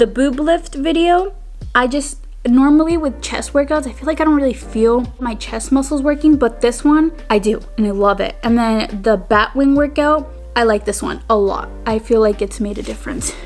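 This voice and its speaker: A woman with a high pitch and lively intonation speaks at a moderate pace over music in the background. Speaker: lifestyle vlogger. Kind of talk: casual vlog talk. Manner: casual, filler-heavy.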